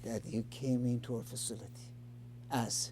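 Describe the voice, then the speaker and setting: A man speaks with an Iranian accent at a moderate pace. His tone is dark and mellow, his pitch medium for a man. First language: Farsi. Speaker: addiction recovery show host. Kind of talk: interview. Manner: halting.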